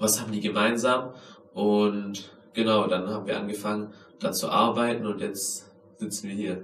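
A man's fairly low, monotone voice with flat intonation and long, frequent pauses, amid audible room echo and noticeable background noise. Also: moderate pace. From Germany, Tübingen. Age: 20s. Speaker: podcast host and capoeira and tricking athlete. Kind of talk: self-interview, casual.

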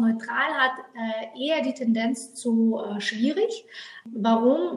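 A woman speaks with a fairly high pitch. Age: 30s. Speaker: numerologist. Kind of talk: interview. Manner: hesitant fillers.

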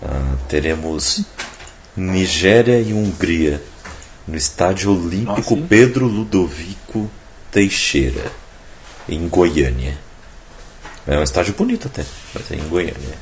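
Over noticeable background noise, a man with a very deep, low pitch speaks at a very slow pace, using lively intonation and long, frequent pauses. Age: 20s. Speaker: podcast host. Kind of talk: casual chat.

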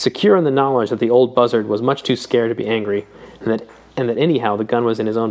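A voice reading naturally

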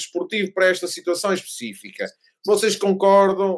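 This man's voice sits high in pitch. He speaks at a moderate pace. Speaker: F1 podcast co-host. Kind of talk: casual chat. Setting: remote recording.

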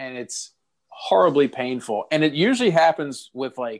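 Over a silent background in a very clean recording, a man with an unremarkable speaking voice talks slowly-ish at a fairly high pitch. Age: 30s. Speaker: podcast co-host. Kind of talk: casual chat.

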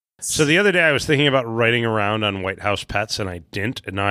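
A very fast man with a Chicago accent, a bright, sharp tone and ordinary pitch variation, in a dry, close sound with no echo and a very clean recording with a silent background. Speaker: trivia podcast co-host. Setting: live recording.

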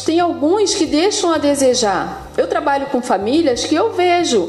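At a fairly slow pace, a woman talks with lively intonation, with audible room echo and noticeable background noise. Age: 40s. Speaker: preschool educator and parent. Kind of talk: casual chat.

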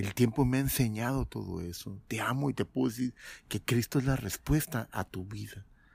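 In a very clean recording with a silent background, a man with a somewhat breathy, medium-pitched voice speaks with ordinary pitch variation in a dry, close sound with no echo. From Mexico. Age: 50s. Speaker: former pastor. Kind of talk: testimony.

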